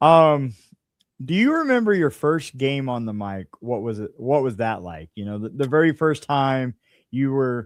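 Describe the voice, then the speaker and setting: This man has a plain, everyday voice at a medium pitch, with lively intonation and big swings in loudness. He keeps a moderate pace on a very clean recording with a silent background. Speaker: podcast host and interviewer. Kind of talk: sports podcast interview, conversational host. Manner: upbeat, friendly, engaged.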